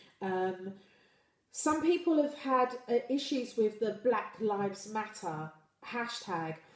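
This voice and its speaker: In a British accent, a woman speaks at a very slow pace. Her fairly high voice carries lively intonation. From UK. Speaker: livestream host. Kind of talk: live stream chat reading viewer comments. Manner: halting with repetitions.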